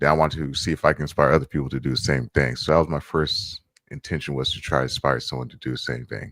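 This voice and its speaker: Very deep, low-pitched male voice with vocal fry and an American accent, at a very fast pace, with fairly even intonation, big swings in loudness, and a dry, close sound with no echo. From USA. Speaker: street photographer and streamer. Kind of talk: interview. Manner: halting, many fillers.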